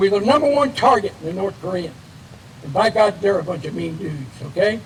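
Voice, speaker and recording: An animated, high-pitched male voice at a very fast pace, with noticeable background noise. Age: 70s. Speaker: retired Air Force officer, hall of fame inductee. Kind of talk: acceptance speech. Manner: folksy, animated.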